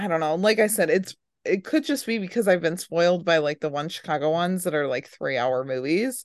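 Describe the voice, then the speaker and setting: Using an ordinary speaking voice, a woman talks at a fairly quick pace with fairly low pitch and lively intonation. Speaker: podcast host. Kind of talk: casual chat.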